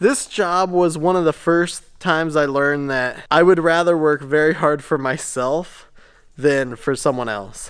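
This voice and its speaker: In a quiet background, a man speaks at a fairly slow pace with ordinary pitch variation. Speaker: shop owner vlogger. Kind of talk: casual vlog storytelling. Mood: upbeat, reflective. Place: workshop. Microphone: phone near.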